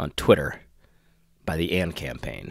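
A man talks with vocal fry. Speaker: podcast host. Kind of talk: solo commentary.

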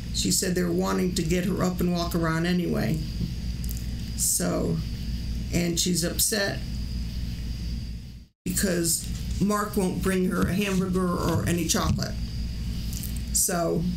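The woman talks at a fairly slow pace, leaving long, frequent pauses. There is noticeable background noise. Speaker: livestream host. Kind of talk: casual livestream chat. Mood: concerned, a bit amused. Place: home room. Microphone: studio mic.

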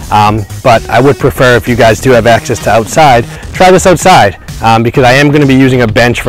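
A man talks at a very fast pace. Faint music plays in the background, and the sound is dry with no echo. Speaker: personal trainer. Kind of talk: tutorial. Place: open country. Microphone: lapel.

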